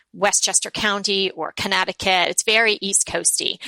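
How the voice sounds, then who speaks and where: A woman with a New York accent speaks at medium pitch and a moderate pace, the sound dry and close with no echo. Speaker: blogger, former prosecutor. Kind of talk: casual interview chat.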